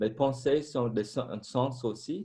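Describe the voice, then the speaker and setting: Here a man speaks with a non-native accent. His tone is dark and mellow. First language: not French (French is fourth language) (speaking French). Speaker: former Buddhist monk, meditation teacher. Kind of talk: panel discussion.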